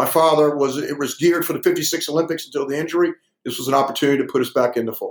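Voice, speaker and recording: Very fast speech from a man at a fairly high pitch, with fairly even intonation. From US South. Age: 60s. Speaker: weightlifting coach. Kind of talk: interview.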